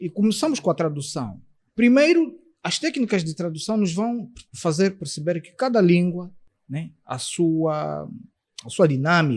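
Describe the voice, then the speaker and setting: Speaking at a fairly slow pace, a man with a high-pitched voice shows big swings in loudness. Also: lively intonation. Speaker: interpreter and translator. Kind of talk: podcast interview.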